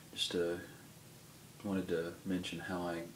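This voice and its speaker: A mumbling man with a very deep, low pitch, monotone, flat intonation and a moderate pace. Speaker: pipe smoker. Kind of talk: casual talk to camera. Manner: mumbly, hesitant.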